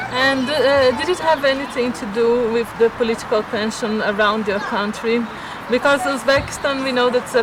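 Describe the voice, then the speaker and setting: This woman has a high-pitched voice and a Portuguese accent, speaking at a moderate pace. Her intonation stays fairly even over noticeable background noise. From Brazil. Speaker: vlogger. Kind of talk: casual chat. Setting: outdoors. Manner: halting.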